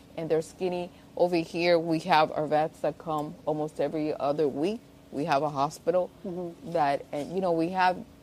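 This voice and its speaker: A woman with a Spanish accent, fairly low in pitch, at a moderate pace with fairly even intonation. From Spain, after early years in Cuba. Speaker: zoo director. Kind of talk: interview. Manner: halting, repetitive.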